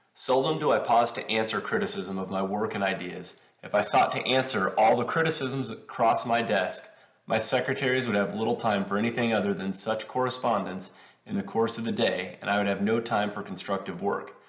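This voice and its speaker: A man's medium-pitched voice at a fairly quick pace, with ordinary pitch variation and noticeable background noise. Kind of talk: reading of a historic letter. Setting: home recording, poor audio. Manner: amateur reading.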